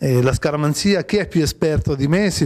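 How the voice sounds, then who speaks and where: A man at a moderate pace, with ordinary pitch variation, against a quiet background. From Liguria, Italy (Imperia); Liguria. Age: 40s. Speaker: actor and comedian; actor, comedian. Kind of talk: TV interview. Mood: cheerful, relaxed. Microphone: handheld.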